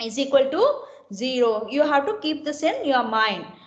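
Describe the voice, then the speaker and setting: A woman's high voice with audible room echo. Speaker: engineering lecturer. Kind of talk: online lecture. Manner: slow; repetitive, questioning students.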